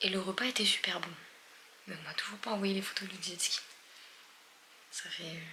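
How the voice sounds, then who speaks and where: A woman whispers with long, frequent pauses, with audible room echo and noticeable background noise behind her. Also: moderate pace. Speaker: travel vlogger. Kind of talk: casual vlog talk to camera. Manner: animated.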